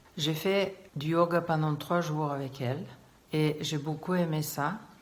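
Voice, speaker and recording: Speaking very slowly with fairly even intonation, a woman's very deep, low voice carries audible room echo. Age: 60s. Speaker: English teacher, client giving testimonial. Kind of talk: testimony. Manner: hesitant, many filler sounds.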